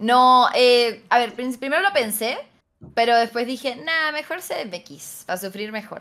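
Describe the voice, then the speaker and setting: The pitch is high and the intonation lively for this woman. She speaks at a fairly slow pace. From Mendoza, Argentina. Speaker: stream guest. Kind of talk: casual chat. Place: home room.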